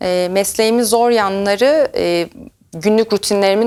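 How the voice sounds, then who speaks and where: A woman speaks at a medium pitch and a moderate pace. The recording is very clean, with a silent background. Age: 30s. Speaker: chemist, R&D team lead. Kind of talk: career talk to camera. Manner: hesitant fillers.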